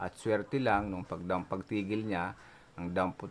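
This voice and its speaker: A man's very deep, low voice at a moderate pace, fairly even intonation, light background noise. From Philippines, province. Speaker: YouTuber, cockfighting enthusiast; YouTuber. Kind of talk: casual vlog storytelling. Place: home room. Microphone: phone near.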